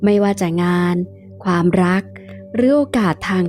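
A woman speaks at a medium pitch with music playing in the background. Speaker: tarot reader and teacher. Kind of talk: tarot reading with a sales pitch for her course.

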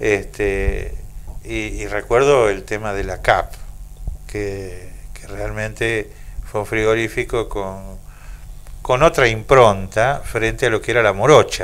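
Loudness swings widely as a man talks at a very slow pace, taking long, frequent pauses. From Argentina. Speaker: radio host. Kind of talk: radio interview. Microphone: handheld.

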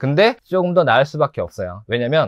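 Over a quiet background, a man talks at a very fast pace with lively intonation in a dry sound with no echo. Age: 40s. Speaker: pet shop owner and tarantula keeper. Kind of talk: self-introduction video monologue. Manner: casual, with many fillers. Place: shop. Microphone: lapel.

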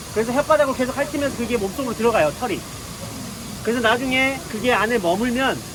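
Speech comes at a very fast pace with long, frequent pauses. Noticeable background noise is present. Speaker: zookeeper. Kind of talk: live animal talk to visitors. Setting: outdoors.

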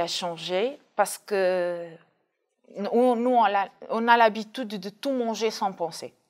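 Pitch varies in an ordinary way as the words come very slowly. Nothing can be heard in the background but quiet. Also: woman. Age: 30s. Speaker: dialysis patient. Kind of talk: testimony. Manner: hesitant, with fillers. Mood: calm, reflective. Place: studio. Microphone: lapel.

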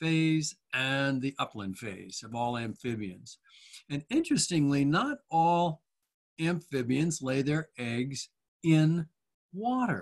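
A man speaks at a very slow pace with lively intonation. The background is quiet. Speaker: presenter. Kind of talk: lecture. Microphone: video call.

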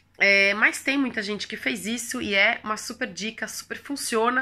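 A woman's fairly high, bright, sharp voice with ordinary pitch variation, in a very clean recording with a silent background. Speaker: language-learning youtuber. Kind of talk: casual vlog tutorial.

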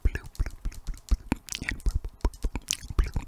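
Whispering, a woman speaks at a very slow pace. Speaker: ASMR creator. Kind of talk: ASMR whispering. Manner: whispered. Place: home room. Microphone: studio mic.

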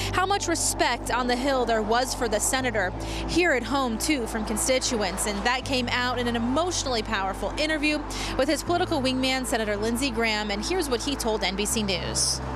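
Fairly quick speech with a dry, echo-free sound and music in the background. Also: woman. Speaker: TV news reporter. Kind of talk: live news report. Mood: somber, measured. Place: street. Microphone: handheld.

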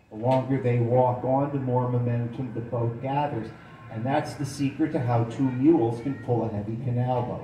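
A man speaks at a moderate pace, with audible room echo and light background noise. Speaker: canal boat tour guide. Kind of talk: tour guide commentary. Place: boat.

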